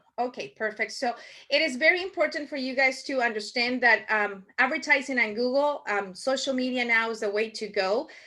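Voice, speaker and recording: Against a quiet background, a woman with a strong Spanish accent talks at a fairly quick pace in a bright, sharp tone at a high pitch. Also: ordinary pitch variation. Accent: thick Spanish. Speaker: marketing workshop instructor. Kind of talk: online workshop presentation. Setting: video call. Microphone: video call.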